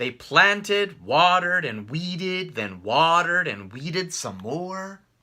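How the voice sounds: At a slow pace, a man talks with a bright, sharp tone and fairly high pitch.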